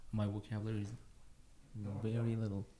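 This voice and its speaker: A dark, mellow tone, somewhat breathy, at a fairly quick pace with fairly even intonation. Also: man. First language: Persian. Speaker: musician, pianist. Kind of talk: casual chat. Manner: halting. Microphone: too far from the mic.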